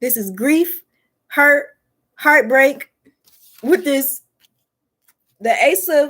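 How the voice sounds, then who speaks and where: Speaking very slowly with long, frequent pauses, a woman with a Detroit accent uses a high pitch and lively intonation. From US Midwest, Detroit. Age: 20s. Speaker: tarot reader and spiritual content creator. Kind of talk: tarot reading. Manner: animated; casual.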